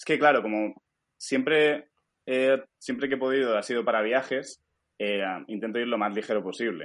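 A man at medium pitch and a moderate pace, with ordinary pitch variation and long, frequent pauses. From Spain, Alicante. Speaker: stock photographer and schoolteacher. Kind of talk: casual interview.

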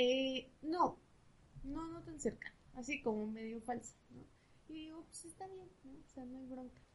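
A woman speaks at a fairly slow pace in a high voice. Her pitch varies in an ordinary way, while her loudness swings widely. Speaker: psychologist. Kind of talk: casual chat.

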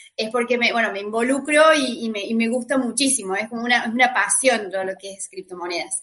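A woman speaks at a high pitch with a bright, sharp tone. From Argentina. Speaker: lawyer and crypto writer. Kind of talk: panel debate. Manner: halting with repetitions.

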